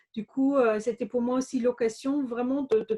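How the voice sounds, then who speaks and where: The voice has a dark, mellow tone and fairly even intonation, with a dry, close sound and no echo. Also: woman. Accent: slight German. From Germany, Bavaria (Regensburg). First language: German (speaking French). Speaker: entrepreneur, former business lawyer. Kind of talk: interview. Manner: hesitant, many fillers.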